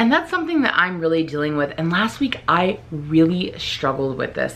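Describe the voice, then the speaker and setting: A woman with a very deep, low pitch speaks at a fairly quick pace over noticeable background noise. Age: adult. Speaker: vlogger. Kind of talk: vlog. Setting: filming herself on camera. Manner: fast.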